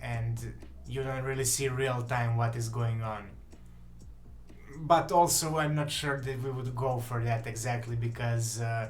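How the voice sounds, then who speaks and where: A man speaks with a Serbian accent at medium pitch, fairly slowly and somewhat breathily. His intonation stays fairly even, and room echo is audible. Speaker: game developer. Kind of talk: live stream chat. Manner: halting.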